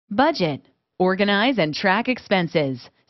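At a moderate pace, a woman speaks in an enthusiastic tone with very wide pitch swings. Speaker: promo narrator. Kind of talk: infomercial voiceover, upbeat sales pitch reading a feature list.

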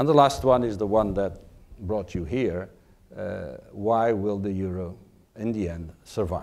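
A man speaks with a Portuguese accent in a fairly low voice. His pace is fairly slow and his pitch varies in an ordinary way. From Portugal. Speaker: diplomat; ambassador giving lecture. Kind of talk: lecture. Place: hall. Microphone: lapel.

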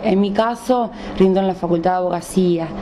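A woman's fairly even intonation against light background noise. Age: 30s. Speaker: distance-learning student. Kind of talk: interview. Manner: halting. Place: home room. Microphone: handheld.

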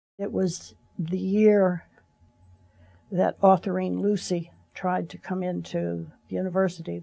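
Against a quiet background, a woman speaks with a dark, mellow tone. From US South. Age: 70s. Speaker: civil rights activist. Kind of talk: interview, personal reminiscence. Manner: halting, with frequent fillers and repetitions. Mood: reflective, reminiscing. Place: studio.

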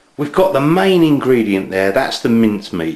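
A man talks at a fairly quick pace over a quiet background, with audible room echo. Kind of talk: tutorial. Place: kitchen. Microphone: camera far.

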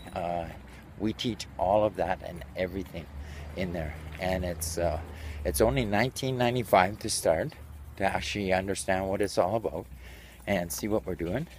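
A man's very deep, low, somewhat breathy voice in a Canadian accent, at a moderate pace with long, frequent pauses, dry with no echo over light background noise. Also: ordinary pitch variation. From Canada. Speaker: online business promoter; online seller promoting a course. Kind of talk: sales pitch. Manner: casual, filler-heavy. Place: street. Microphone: phone near.

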